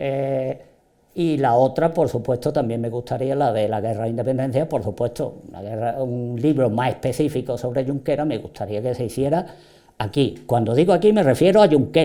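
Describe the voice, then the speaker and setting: This man's voice sits at a medium pitch with a dark, mellow tone. He keeps a moderate pace and ordinary pitch variation. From southern Spain, Andalusia (Málaga province). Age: 70s. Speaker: local writer and historian. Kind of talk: interview. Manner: hesitant, with repetitions and fillers.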